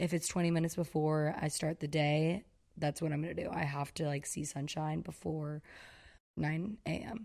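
In a very clean recording with a silent background, a speaker with an American accent talks at a moderate pace with fairly even intonation. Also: woman, very deep, low pitch for a woman. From US South, Georgia. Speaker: content creator. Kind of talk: casual chat.

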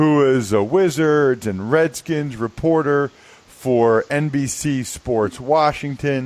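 A man talks at a very slow pace. His pitch is fairly high, with ordinary variation. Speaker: podcast host, former pro football player. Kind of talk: casual podcast chat.

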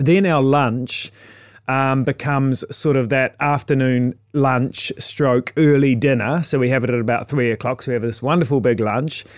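A man with a New Zealand accent and fairly even intonation is heard in a very clean recording with a silent background. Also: medium pitch for a man, moderate pace. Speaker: chef. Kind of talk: casual interview chat. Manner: halting, many repetitions and fillers.

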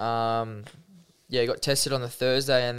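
In an Australian accent, a man speaks at a medium pitch with a monotone, flat intonation. The recording is very clean, with a silent background. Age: 20s. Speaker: professional rugby league player. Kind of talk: interview, personal testimony. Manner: casual, with frequent fillers.

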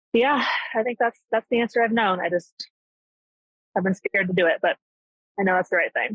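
A woman talks at a fairly quick pace and fairly high pitch, with ordinary pitch variation and very even loudness. She leaves long, frequent pauses, and the sound is dry and close with no echo. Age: 30s. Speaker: caller. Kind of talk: phone-in advice call.

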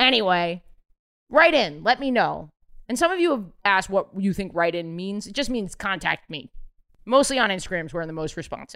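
A woman speaks fairly quickly at a medium pitch, her voice making very wide pitch swings and big swings in loudness. The recording is very clean, with a silent background. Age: 30s. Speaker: comedian and podcast host. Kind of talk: casual chat. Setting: apartment.

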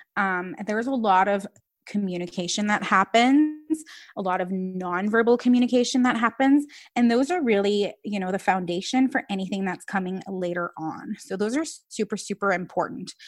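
Against a silent background in a very clean recording, a woman with an unremarkable speaking voice talks at a moderate pace, medium in pitch with ordinary pitch variation. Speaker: speech language pathologist. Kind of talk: casual interview.

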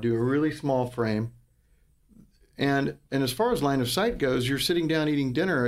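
Pitch moves in an ordinary way through an ordinary speaking voice. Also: man. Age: 40s. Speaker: antiques dealer. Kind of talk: casual chat.

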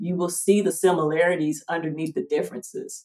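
The woman's fairly low voice carries a dark, mellow tone. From US South, Georgia (Atlanta). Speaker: anthropologist, archaeology PhD candidate. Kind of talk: interview.

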